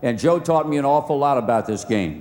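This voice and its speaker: An unremarkable speaking voice in an American accent, with ordinary pitch variation. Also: man. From Virginia, US. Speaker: sportscaster. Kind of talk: award acceptance speech. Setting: outdoor ceremony PA system.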